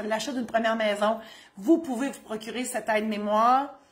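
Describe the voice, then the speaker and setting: A woman with a Quebec accent speaks in an animated tone. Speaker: notary and humorist. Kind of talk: legal advice video with self-promotion. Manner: fast.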